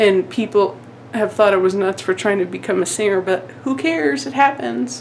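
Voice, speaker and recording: Noticeable background noise runs through the clip. The pace is moderate. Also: woman. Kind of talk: casual room tour vlog.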